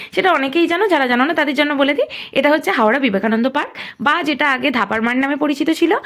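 Her voice sits high in pitch. The woman's intonation is lively. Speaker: vlogger. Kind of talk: vlog walkthrough narration. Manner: casual, chatty.

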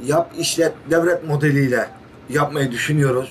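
Over light background noise, a man with a fairly high pitch talks at a fairly slow pace. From Turkey. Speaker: village headman. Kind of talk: interview. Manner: halting, many fillers. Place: office. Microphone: camera far.

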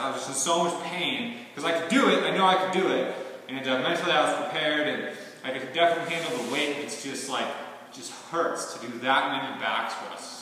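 A man speaks at a moderate pace with ordinary pitch variation, his voice carrying strong room echo over light background noise. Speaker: fitness vlogger. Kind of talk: casual vlog chat. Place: gym. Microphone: camera far.

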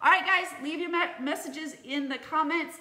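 A woman speaks in a raised, projected voice at a fairly quick pace. Audible room echo surrounds her. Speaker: teacher. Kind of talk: casual tutorial vlog chat. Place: home room. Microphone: phone near.

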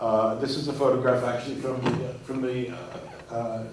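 Over light background noise and with audible room echo, a man speaks in a monotone, flat intonation. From Puerto Rico. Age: 60s. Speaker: artist and curator. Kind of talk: lecture. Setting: stage with audience. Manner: halting. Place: hall. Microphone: podium.

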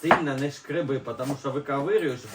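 Audible room echo surrounds a man speaking fast at a medium pitch with ordinary pitch variation.

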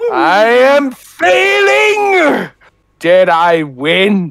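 A man puts on a character voice, pitched high. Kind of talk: comic impression. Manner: menacing, grandiose.

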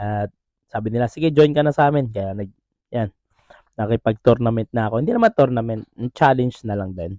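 A man's dark, mellow tone in a dry, close sound with no echo. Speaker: travel vlogger. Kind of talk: vlog narration. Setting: bowling and arcade venue.

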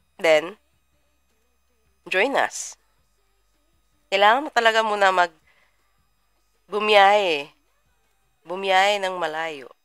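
Faint music sits in the background as a woman speaks with lively intonation in a dry sound with no echo. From Philippines. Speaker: trading mentor; trading mentor livestreamer. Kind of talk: live stream. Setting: livestream. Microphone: webcam.

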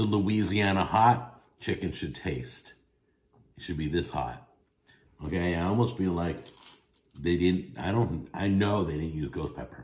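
Someone speaks at a fairly slow pace with long, frequent pauses in a room with audible echo. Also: man. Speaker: food reviewer. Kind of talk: casual food review vlog. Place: home room. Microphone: phone near.

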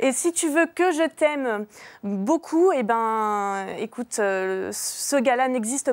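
The woman's voice sits fairly high and shows ordinary pitch variation. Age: 20s. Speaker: dating video advertiser. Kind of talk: personal dating ad. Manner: hesitant, many fillers. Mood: playful, teasing. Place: studio.

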